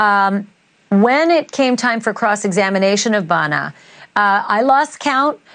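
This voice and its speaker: With an ordinary speaking voice, a woman talks at a fairly slow pace and fairly high pitch, her intonation lively. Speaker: TV news anchor. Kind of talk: TV interview questions.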